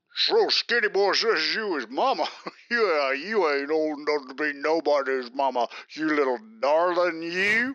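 This man speaks with a Southern US accent at a moderate pace. His voice is fairly high, with lively intonation. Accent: Southern American drawl. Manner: boastful, leering, bossy.

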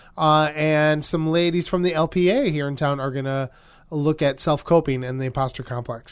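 The recording is very clean, with a silent background. A man with an unremarkable speaking voice talks at a fairly high pitch with ordinary pitch variation. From Wisconsin, US. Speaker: podcast co-host. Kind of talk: casual chat; event announcements.

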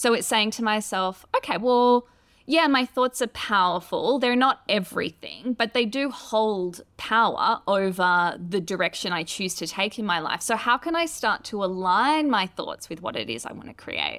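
With an Australian accent, a woman speaks at a moderate pace in a fairly high pitch, her intonation lively and hardly any pauses, in a very clean recording with a silent background. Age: 30s. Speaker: author and astrologer. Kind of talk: interview conversation.

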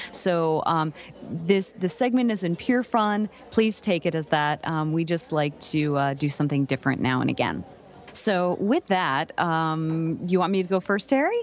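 A woman with an American accent speaks at a moderate pace in a fairly low pitch, her intonation lively. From US Northeast. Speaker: voice actor and podcast co-host. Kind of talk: casual chat. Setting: studio.

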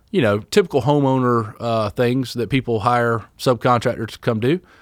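A man speaks with a Southern US accent at a moderate pace and with ordinary pitch variation. The recording is very clean, with a silent background. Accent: Southern US (Georgia). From US South, Georgia (Douglasville, Fayetteville area). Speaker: firefighter paramedic and small business owner. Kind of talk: casual interview.

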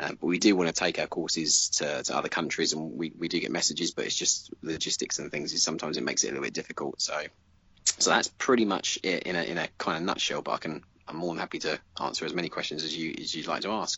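A man speaks at a very fast pace in a British accent, with a very deep, low pitch. His pitch varies in an ordinary way, with vocal fry. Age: 30s. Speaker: commission miniature painter, studio owner. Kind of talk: interview. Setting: remote call.

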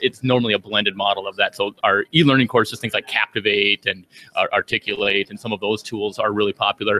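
A man with an American accent talks at a very fast pace in a bright, sharp tone. His intonation stays fairly even. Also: fairly low pitch for a man, dry, close sound with no echo. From Minnesota. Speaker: software trainer and developer. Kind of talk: casual interview. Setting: conference floor.

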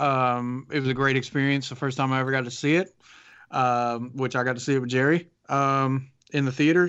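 Speaking at a very fast pace, a man with a Southern US accent keeps a medium pitch and a monotone, flat intonation. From US South. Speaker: podcast co-host. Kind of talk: casual chat.

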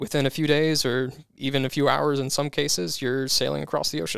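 On a very clean recording with a silent background, a man with a fairly high pitch speaks at a moderate pace in an ordinary speaking voice. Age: 30s. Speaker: lawn care business owner. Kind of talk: interview.

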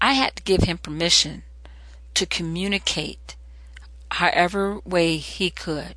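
Against a quiet background, the speaker goes at a fairly slow pace with long, frequent pauses. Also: woman. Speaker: parenting podcast host. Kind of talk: monologue with parenting advice. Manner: animated, talks with hands.

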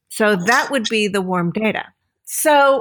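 A woman talks in an unremarkable speaking voice at a medium pitch with lively intonation, in a very clean recording with a silent background. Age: 50s. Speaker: filmmaker, writer and educator. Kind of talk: casual chat.

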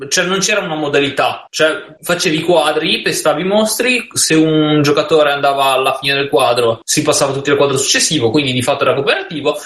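Amid noticeable background noise, a man talks very fast at a fairly high pitch with lively intonation. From Genoa, Italy. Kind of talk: casual chat.

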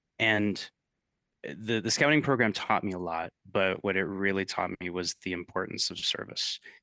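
A man with a fairly low pitch speaks at a moderate pace in a bright, sharp tone. The sound is dry and close with no echo, and the background is quiet. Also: ordinary pitch variation. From US West Coast (West Covina, California). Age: 40s. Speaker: entrepreneur and agency CEO. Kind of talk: interview conversation.

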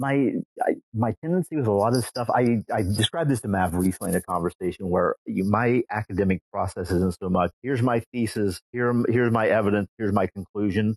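An unremarkable speaking voice moves at a fairly quick pace with hardly any pauses and ordinary pitch variation, in a dry, close sound with no echo. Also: man. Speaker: teacher. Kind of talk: casual chat.

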